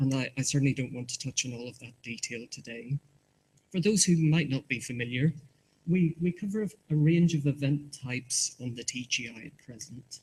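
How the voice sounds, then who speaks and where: Speaking in a Northern Irish accent, the voice is somewhat breathy, with ordinary pitch variation. It moves at a fairly quick pace with big swings in loudness. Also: man, fairly high pitch for a man. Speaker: market research presenter. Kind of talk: conference presentation. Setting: conference hall with audience. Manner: halting, repeats words.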